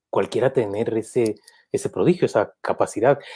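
Medium in pitch, this man's voice has a dark, mellow tone and moves at a fairly slow pace. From Guatemala. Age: 50s. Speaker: journalist, interviewer. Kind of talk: interview. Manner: halting, repeats words.

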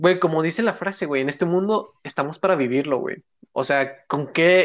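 Someone talks at a fairly quick pace with ordinary pitch variation, in a Mexican accent. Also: man. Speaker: podcast co-host. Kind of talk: casual chat.

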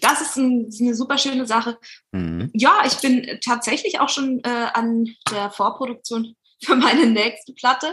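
Her pitch is high, with ordinary variation. The woman talks at a moderate pace. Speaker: musician and chanson singer. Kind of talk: casual interview. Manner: hesitant with many fillers.

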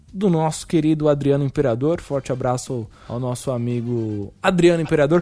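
A man speaks with lively intonation in a fairly high pitch. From São Paulo metro area, Brazil. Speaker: student radio host. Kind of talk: casual chat. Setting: virtual round table. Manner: animated.

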